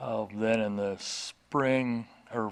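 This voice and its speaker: A man at medium pitch talks with an American accent. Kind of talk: interview answer. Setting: quiet indoor interview.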